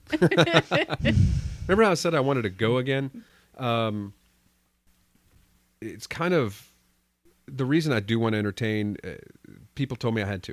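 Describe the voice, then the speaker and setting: The speaker talks at a moderate pace with an American accent and lively intonation. Long, frequent pauses break up the delivery. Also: man, medium pitch for a man. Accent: slight Texas, only on some words. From Texas. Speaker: podcast host. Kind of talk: casual chat.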